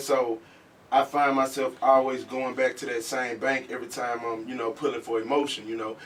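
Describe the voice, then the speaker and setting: Amid noticeable background noise, a man with a medium pitch speaks at a moderate pace with fairly even intonation. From northwest Louisiana (Mansfield). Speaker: rapper. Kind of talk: interview. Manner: halting, many fillers.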